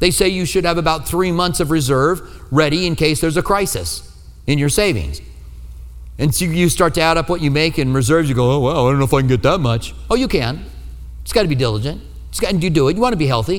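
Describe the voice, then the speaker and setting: A man's very fast, fairly high-pitched voice with vocal fry, lively intonation and an American accent. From US Midwest. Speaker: pastor. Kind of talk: sermon. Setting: church.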